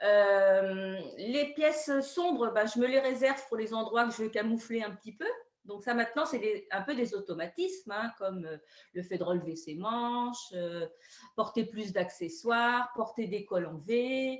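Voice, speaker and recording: A woman speaks at a fairly slow pace with lively intonation. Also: fairly high pitch for a woman. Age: 60s. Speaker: retired schoolteacher giving a client testimonial. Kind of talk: testimony. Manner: hesitant, many fillers.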